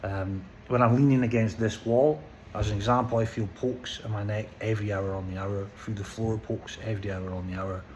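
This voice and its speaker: In a room with audible echo, a man with a Scottish accent speaks at a fairly quick pace and fairly low pitch, with fairly even intonation. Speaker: vlogger. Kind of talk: personal vlog monologue. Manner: slurred; halting, stammering.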